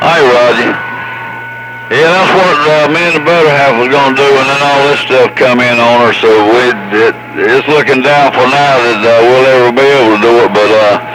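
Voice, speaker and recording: Over noticeable background noise and audible room echo, the speaker keeps a moderate pace, very even loudness and ordinary pitch variation. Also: man, medium pitch for a man. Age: 70s. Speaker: CB radio operator. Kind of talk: casual chat over CB radio. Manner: halting, many fillers.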